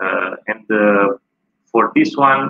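A man with a Romanian accent at a very slow pace, ordinary pitch variation, over a quiet background. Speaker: tourist guide. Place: home room. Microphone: video call.

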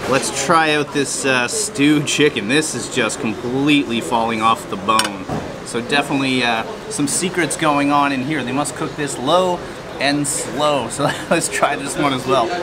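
A man's pitch varies in an ordinary way as he speaks at a moderate pace, with loud noise in the background. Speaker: travel food vlogger. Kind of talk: casual vlog chat. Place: cafe.

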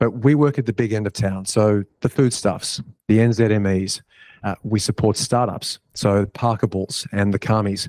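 A man with an ordinary speaking voice talks at a fairly slow pace in a fairly low pitch, his intonation fairly even and the sound dry with no echo against a quiet background. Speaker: cloud company executive; panelist. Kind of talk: panel discussion. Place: stage.

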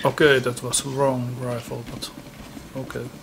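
A man's flat, monotone voice at a medium pitch, with a Finnish accent, over noticeable background noise. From Finland. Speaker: gaming YouTuber. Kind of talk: casual gameplay commentary. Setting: home recording setup. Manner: halting.

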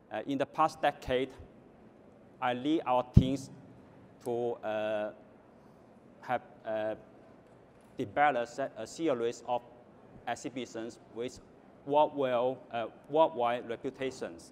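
With a Chinese accent, a man of medium pitch speaks at a very slow pace with long, frequent pauses and fairly even intonation, over light background noise. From Guangdong, southern China. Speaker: government official; panellist. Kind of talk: panel talk. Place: hall. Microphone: lapel.

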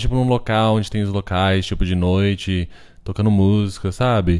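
The man's pitch is fairly low and his pace moderate. The background is quiet. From Brazil. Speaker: podcast host and artist; podcast host. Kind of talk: casual chat. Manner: halting, code-switching. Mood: relaxed, friendly. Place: home room.

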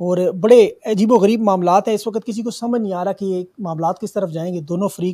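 A man speaks in a high pitch with a dark, mellow tone. His intonation is fairly even, and the background is quiet. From Pakistan. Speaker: journalist and talk show host; show host. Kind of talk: news monologue; interview. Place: studio. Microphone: studio mic.

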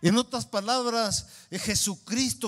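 A man talks at a very slow pace with a high pitch and fairly even intonation. The background is quiet. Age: 60s. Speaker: pastor. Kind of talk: sermon. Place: church. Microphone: handheld.

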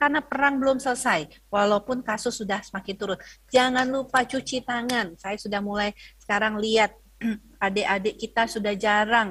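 A woman speaks with a fairly high pitch. The background is quiet. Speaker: health ministry spokesperson; presenter. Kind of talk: lecture. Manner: hesitant, many fillers. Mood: earnest, cautionary. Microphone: video call.

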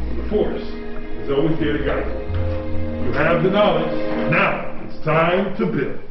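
Clear music plays in the background as a man speaks at a fairly slow pace with audible room echo. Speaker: workshop host narrator. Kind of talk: theatrical scripted narration. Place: workshop.

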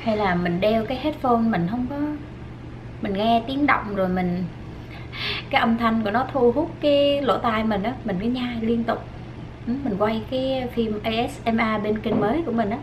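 Ordinary pitch variation from a woman, set against noticeable background noise. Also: fairly slow pace. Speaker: food vlogger. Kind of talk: casual vlog chat while eating. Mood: relaxed, chatty, some laughs. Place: home room.

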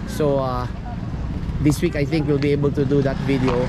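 Loud background noise surrounds a man as he speaks. The sound is dry, with no echo. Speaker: cycling coach. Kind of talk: commentary. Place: street. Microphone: phone near.

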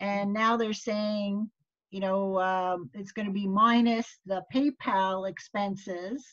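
Somewhat breathy woman's voice with fairly even intonation over a quiet background. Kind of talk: casual group meeting chat. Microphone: video call.

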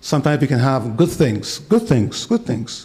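A man speaks at medium pitch in a dark, mellow tone. His pace is moderate.

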